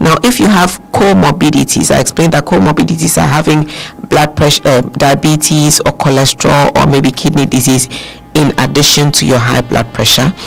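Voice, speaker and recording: A man speaks at a fairly quick pace and a fairly high pitch with ordinary pitch variation. His loudness stays very even despite noticeable background noise. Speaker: doctor, guest expert on a radio health show. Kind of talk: radio health talk explaining medical advice.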